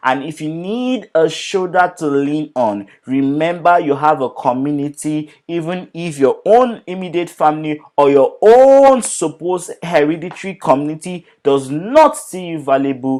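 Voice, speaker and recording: Lively in intonation, a man speaks at a fairly slow pace with hardly any pauses, his pitch fairly high for a man. The recording is very clean with a silent background. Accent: non-native. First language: not English. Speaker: talk show host. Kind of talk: commentary monologue.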